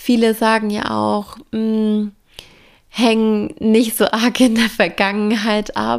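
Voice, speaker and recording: A woman speaks very slowly at a fairly high pitch. Her intonation stays flat and monotone. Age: 20s. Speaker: business coach podcaster. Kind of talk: solo podcast monologue.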